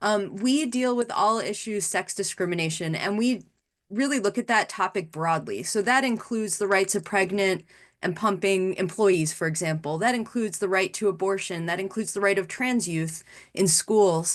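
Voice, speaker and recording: A woman with an American accent and a plain, everyday voice, medium in pitch, at a moderate pace with ordinary pitch variation. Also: quiet background. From New York City (the Bronx). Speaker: lawyer. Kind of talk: panel discussion. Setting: webinar video call.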